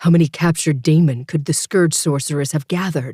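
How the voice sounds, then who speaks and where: A man puts on a strained character voice at a fairly quick pace with fairly even intonation. The sound is dry and close, with no echo. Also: fairly high pitch for a man. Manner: strained, uncalm.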